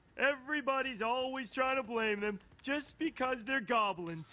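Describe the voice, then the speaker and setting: The voice is a cartoonish character voice with a high pitch. It moves at a moderate pace. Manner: goofy, jokey.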